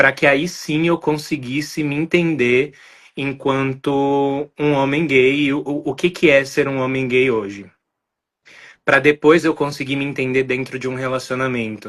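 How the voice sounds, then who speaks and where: A man with a plain, everyday voice speaks fairly slowly at a fairly high pitch, his intonation fairly even. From Brazil, São Paulo. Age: 20s. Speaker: podcast guest. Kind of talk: interview conversation, personal testimony.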